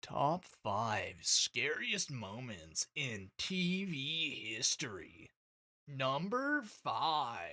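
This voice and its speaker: A man's put-on character voice, fairly high with very wide pitch swings, at a very slow pace on a very clean recording with a silent background. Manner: dramatic, announcer-like.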